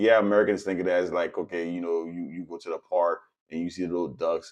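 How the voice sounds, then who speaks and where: A man with a Haitian accent, very deep and low in pitch, at a fairly quick pace with ordinary pitch variation. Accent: Caribbean (Haitian). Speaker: political commentator, vlogger. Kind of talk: casual monologue commentary. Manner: conversational, filler-heavy.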